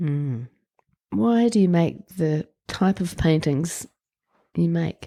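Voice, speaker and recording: With a New Zealand accent, a woman speaks at a very slow pace in a very deep, low pitch, her tone dark and mellow and her intonation lively, leaving long, frequent pauses in a dry, close sound with no echo. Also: very clean recording, silent background. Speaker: podcast host. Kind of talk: interview. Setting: studio.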